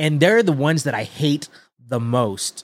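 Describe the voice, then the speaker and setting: A man with an American accent talks at a moderate pace in a plain, everyday voice, his pitch fairly high with lively intonation. The recording is very clean with a silent background. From Texas, San Antonio. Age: 30s. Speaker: sneaker content creator. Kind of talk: casual chat.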